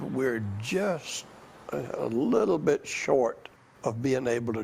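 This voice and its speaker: A man's medium-pitched voice with an Alabama accent, over noticeable background noise. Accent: Southern US (Alabama). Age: 80s+. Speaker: former small-town mayor. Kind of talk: news interview.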